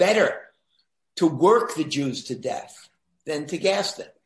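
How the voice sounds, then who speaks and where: A normal speaking voice from a man with an American accent, fairly high-pitched, at a fairly slow pace, with ordinary pitch variation. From New York City. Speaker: historian, professor. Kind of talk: interview.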